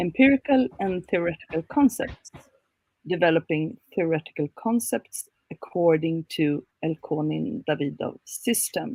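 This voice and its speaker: The pace is fairly slow. This woman's pitch rises and falls over a very wide range. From Sweden. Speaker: academic researcher. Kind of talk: conference presentation.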